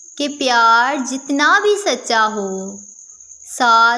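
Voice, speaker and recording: The voice is raised and projected over noticeable background noise. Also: woman. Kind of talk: poetry reading.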